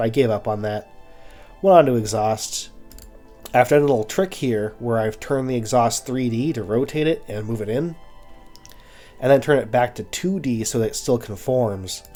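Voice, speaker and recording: A man's speech with long, frequent pauses and music in the background. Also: medium pitch for a man, ordinary pitch variation, moderate pace. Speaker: car design game builder. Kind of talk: casual gameplay commentary.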